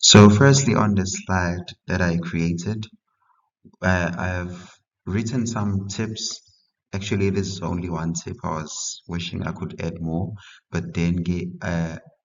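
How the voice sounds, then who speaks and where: Talking at a fairly slow pace, a man with a non-native accent has a very deep, low pitch and fairly even intonation. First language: not English. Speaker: history tutor. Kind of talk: tutorial. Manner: halting.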